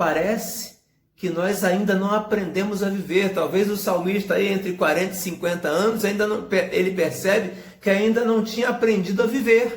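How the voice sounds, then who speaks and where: With audible room echo, a man with a high pitch talks at a moderate pace using fairly even intonation. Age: 40s. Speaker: pastor. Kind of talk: sermon.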